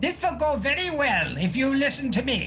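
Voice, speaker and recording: A man performs a put-on character voice at a moderate pace. Clear music plays in the background. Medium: actual play. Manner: imperious, commanding.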